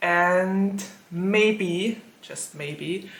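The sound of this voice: In a room with audible echo, a woman speaks at a very slow pace, her pitch fairly low with ordinary pitch variation.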